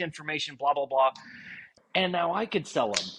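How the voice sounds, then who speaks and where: A man with an American accent talks while noticeable background noise carries on behind him. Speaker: woodworking podcast co-host. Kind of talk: casual chat. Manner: halting, repeats words.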